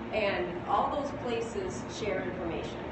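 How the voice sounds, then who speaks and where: A woman talks at a moderate pace with audible room echo. Loud background noise runs underneath. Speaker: company lab guide. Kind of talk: press demo explanation. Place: hall. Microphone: camera far.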